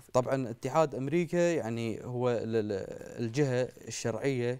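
His tone is dark and mellow. The man's medium-pitched voice shows ordinary pitch variation. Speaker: student union representative. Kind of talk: TV interview.

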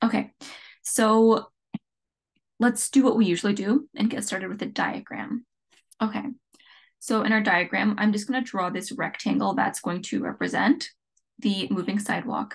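A fairly high-pitched woman with vocal fry, a moderate pace, ordinary pitch variation and long, frequent pauses. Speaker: physics tutor. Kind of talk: tutorial.

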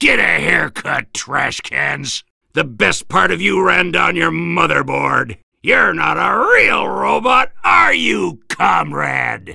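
A man puts on a character voice, fairly high-pitched with a bright, sharp tone and a slightly husky edge. He speaks slowly, with vocal fry and big pitch swings.

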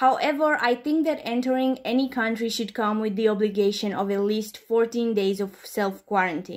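A woman with a non-native accent, fairly high pitch and ordinary pitch variation, at a moderate pace with hardly any pauses, on a very clean recording with a silent background. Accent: non-native English speaker. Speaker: commentary youtuber. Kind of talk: commentary response video.

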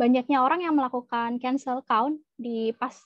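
The recording has a dry sound with no echo and a quiet background, carrying a woman's high-pitched voice. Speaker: data analyst. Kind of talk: presentation. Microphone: video call.

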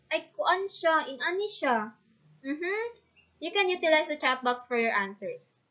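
Someone with a Visayan Filipino accent speaks at a moderate pace with very wide pitch swings. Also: woman, quiet background. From Philippines, Mindanao. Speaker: student teacher. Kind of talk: online class lesson. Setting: online video class. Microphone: webcam.

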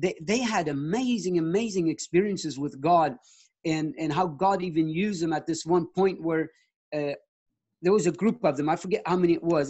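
Against a quiet background, a man talks at a moderate pace and a high pitch with ordinary pitch variation. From Mexico. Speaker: missionary preacher. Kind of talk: sermon. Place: home room. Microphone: video call.

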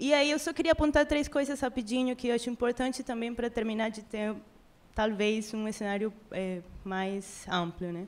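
A woman with a Spanish accent speaks at a moderate pace and a fairly high pitch, with ordinary pitch variation. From Venezuela. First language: Spanish (speaking Portuguese). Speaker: audience member. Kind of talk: audience question. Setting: live event with audience. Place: meeting room.

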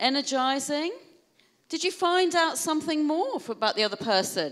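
In a quiet background, a woman speaks at a moderate pace with a British accent. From UK. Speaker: keynote speaker on wellbeing; keynote speaker. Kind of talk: keynote talk to an audience. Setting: stage with audience. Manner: animated. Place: hall. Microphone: handheld.

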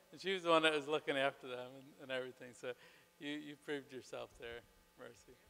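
Words come from a man at a very fast clip. The intonation remains fairly even throughout. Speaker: ministry program leader. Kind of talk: ceremony introductions and prayer; ceremony announcements and remarks. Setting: church stage with audience. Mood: warm, proud, smiling. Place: hall. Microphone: handheld.

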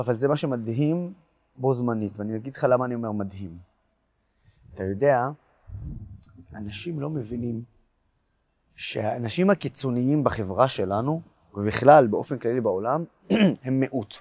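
A man talks at a moderate pace with ordinary pitch variation, leaving long, frequent pauses. The background is quiet. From Israel. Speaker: pro-Israel activist and blogger; interviewee, blogger. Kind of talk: interview. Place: garden. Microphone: lapel.

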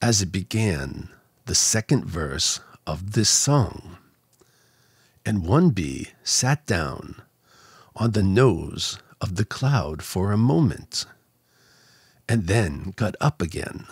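Over a quiet background with a dry sound and no echo, a man speaks very slowly in a fairly low, somewhat breathy voice, with very wide pitch swings and long, frequent pauses. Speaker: narrator reading a children's book. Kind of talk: bedtime story. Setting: studio microphone. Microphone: studio mic.

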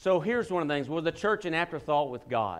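This man talks at a very fast pace. His pitch variation is ordinary. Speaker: preacher. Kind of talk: sermon. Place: church.

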